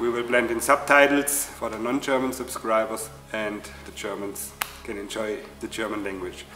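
With faint music in the background and audible room echo, a man speaks at a fairly slow pace. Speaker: channel host. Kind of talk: casual vlog chat. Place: workshop.

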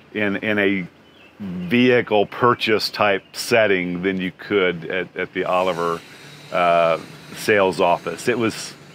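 A man with a normal speaking voice, fairly low in pitch and fairly even in intonation, in a dry sound with no echo and light background noise. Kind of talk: interview answer. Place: open country. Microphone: lapel.

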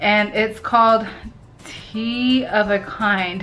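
A woman is speaking. Light noise sits in the background. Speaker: vlogger. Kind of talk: casual vlog chat, product taste review. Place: home room. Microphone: phone near.

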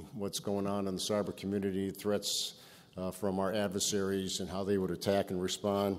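A man talks at a fairly low pitch with monotone, flat intonation. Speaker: keynote speaker. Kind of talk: keynote speech. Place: hall.

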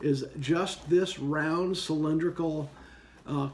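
A man talks with a somewhat breathy voice. His intonation stays fairly even. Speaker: gear reviewer. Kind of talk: product review talk. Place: home room. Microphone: phone near.

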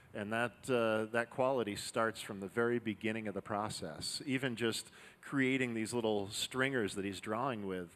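Fairly even intonation at a moderate pace. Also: man. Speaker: demo team narrator. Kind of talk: live demonstration commentary. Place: workshop. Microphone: headset.

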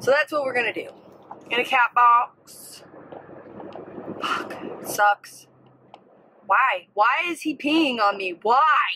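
Light background noise sits behind a woman speaking. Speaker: vlogger. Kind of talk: casual vlog chat. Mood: annoyed, venting. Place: car. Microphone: phone near.

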